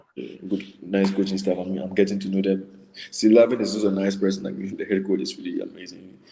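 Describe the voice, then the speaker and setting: A man with a Ghanaian accent, fairly low pitch, very fast pace and fairly even intonation. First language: not English. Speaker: college basketball player. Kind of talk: casual interview.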